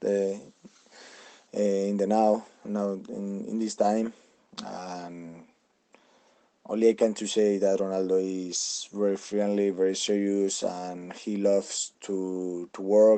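With a Spanish accent, a man speaks very slowly in a fairly low voice, his tone dark and mellow and his intonation monotone and flat, leaving long, frequent pauses. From Spain, Madrid. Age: 20s. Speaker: celebrity lookalike. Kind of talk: interview. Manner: halting.

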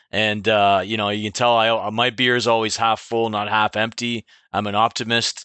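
The speaker has a slight Canadian accent and a monotone, flat intonation. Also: man, fairly low pitch for a man, moderate pace. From Ontario, Canada (Clinton). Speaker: insurance agency owner. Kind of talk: interview. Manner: conversational, uses many fillers.

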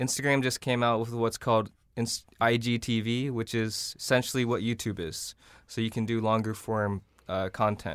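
A normal speaking voice with fairly even intonation, on a very clean recording with a silent background. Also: man, medium pitch for a man, moderate pace. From South Korea, raised in Iowa. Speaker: social media company founder. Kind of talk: interview discussion.

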